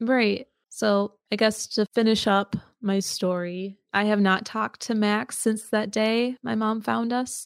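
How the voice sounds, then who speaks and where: A woman's fairly high-pitched, an ordinary speaking voice, with fairly even intonation at a fairly slow pace, very clean and silent in the background, dry and close with no echo. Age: 20s. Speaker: podcaster and abuse survivor. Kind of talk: testimony.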